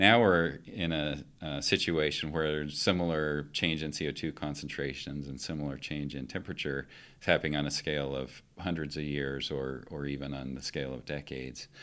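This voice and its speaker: With an American accent, a man speaks at a moderate pace in a very deep, low pitch, his tone bright and sharp, his intonation fairly even and his delivery with hardly any pauses. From Colorado, Western Slope. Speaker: geophysicist and university administrator. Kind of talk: interview. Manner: halting.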